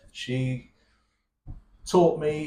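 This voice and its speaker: A somewhat breathy man with a West Country accent, amid audible room echo. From England, Plymouth. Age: 60s. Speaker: abuse survivor sharing his story. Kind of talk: emotional testimony in interview. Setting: cafe. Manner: halting, with repetitions.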